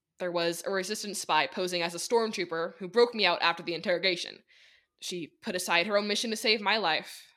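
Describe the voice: This is plain reading aloud. Nothing else is added to the delivery.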